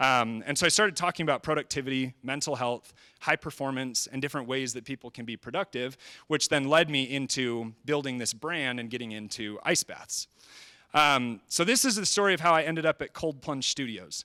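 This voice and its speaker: A man with a bright, sharp tone and ordinary pitch variation at a fairly quick pace, dry and close with no echo, on a very clean recording with a silent background. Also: medium pitch for a man. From US Midwest, Chicago. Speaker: social media creator and trainer. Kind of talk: live presentation. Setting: stage with audience. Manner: fast.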